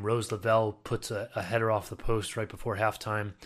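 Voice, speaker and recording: A man speaks very fast in a fairly low, flat monotone with an American accent, on a very clean recording with a silent background. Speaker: soccer podcast host. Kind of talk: solo sports analysis podcast.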